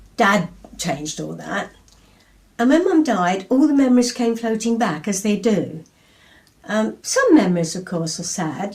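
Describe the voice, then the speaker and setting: There is noticeable background noise as a woman speaks with medium pitch and lively intonation. She talks at a fairly slow pace with long, frequent pauses. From England. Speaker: poet. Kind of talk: interview answer.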